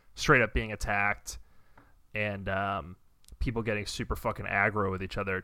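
Speaking at a fairly quick pace, a man has a bright, sharp tone and vocal fry, captured in a very clean recording with a silent background. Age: 30s. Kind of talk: casual chat. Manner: animated.

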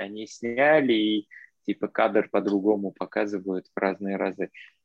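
A man speaks with a non-native accent. His voice is fairly low, at a fairly slow pace. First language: not Russian (speaking Russian). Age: young. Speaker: podcast guest, traveler. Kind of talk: casual chat. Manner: mixes English words into Russian.

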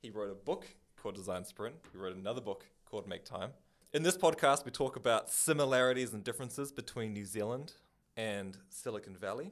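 Using a plain, everyday voice, a man speaks at a medium pitch with lively intonation. His pace is fairly quick. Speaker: podcast co-host. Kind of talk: casual interview.

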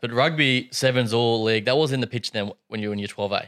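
A man of medium pitch at a fairly quick pace with ordinary pitch variation, on a very clean recording with a silent background. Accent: Australian. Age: 20s. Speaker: podcast host. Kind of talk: interview.

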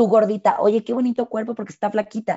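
A woman speaks with a Mexican accent. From Mexico. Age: 30s. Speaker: fitness instructor. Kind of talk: casual chat.

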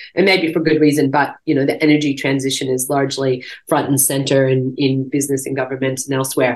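Speaking at a very fast pace with hardly any pauses, a woman with a very deep, low pitch talks in a monotone, flat intonation with an American accent. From US, Montana. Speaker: company director. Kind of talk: interview.

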